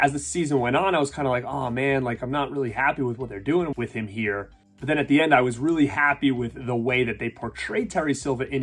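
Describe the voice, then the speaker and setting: Against background music, a man of medium pitch talks at a fairly quick pace with ordinary pitch variation. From Rhode Island. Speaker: YouTube reviewer. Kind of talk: casual talk to camera.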